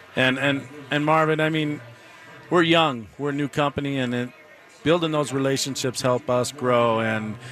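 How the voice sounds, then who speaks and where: Intonation stays fairly even at a moderate pace. Noticeable background noise runs underneath. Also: man. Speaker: distillery owner. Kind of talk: live radio interview, casual. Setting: live event with crowd and music.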